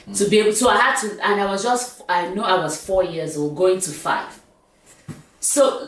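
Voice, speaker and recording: A woman speaks at a medium pitch and a moderate pace with lively intonation. There is noticeable background noise and audible room echo. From Nigeria (south: Calabar, Uyo, Enugu). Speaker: talk show host. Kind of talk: casual chat.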